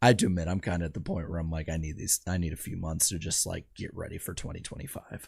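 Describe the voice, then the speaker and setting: A somewhat breathy male voice at a fairly quick pace, in a very clean recording with a silent background. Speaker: podcast host. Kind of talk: live stream chat. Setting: live stream.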